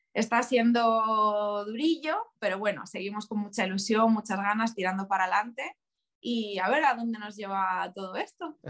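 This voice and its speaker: With a fairly high pitch, a woman talks at a moderate pace. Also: ordinary pitch variation. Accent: Madrid. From Spain, Leganés (Madrid). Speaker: tattoo artist. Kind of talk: interview.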